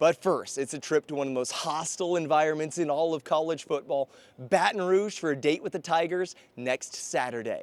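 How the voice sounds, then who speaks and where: In an ordinary speaking voice, a man talks at a fairly quick pace and a fairly high pitch with ordinary pitch variation, in a dry, close sound with no echo. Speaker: sports anchor and reporter. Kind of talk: on-air sports montage, anchoring and reporting.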